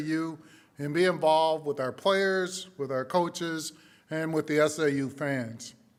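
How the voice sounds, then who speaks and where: In a very clean recording with a silent background, a man with a New England accent talks at a moderate pace, fairly high in pitch, with fairly even intonation. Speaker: university leader. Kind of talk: ceremony speech. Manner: formal.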